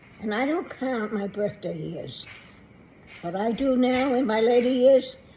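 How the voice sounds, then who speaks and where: Over noticeable background noise, a woman with a high pitch speaks fairly slowly with ordinary pitch variation. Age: 80s+. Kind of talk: casual talk to camera.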